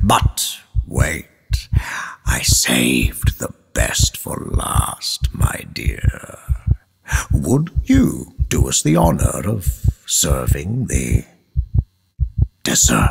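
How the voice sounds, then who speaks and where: Using a put-on character voice, a man speaks at a very slow pace with a very deep, low pitch and long, frequent pauses. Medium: audio drama. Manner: grandiloquent, preaching.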